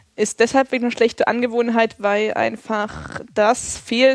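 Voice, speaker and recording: A woman speaks with monotone, flat intonation. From Thuringia, eastern Germany (Erfurt). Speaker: community radio journalist. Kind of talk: casual interview.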